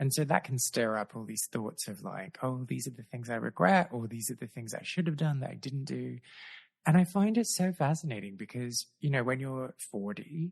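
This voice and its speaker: An Australian-accented man's medium-pitched, somewhat breathy voice at a moderate pace, with lively intonation and a dry, close sound with no echo over a quiet background. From Australia, Adelaide. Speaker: podcast host. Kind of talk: casual chat. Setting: video call.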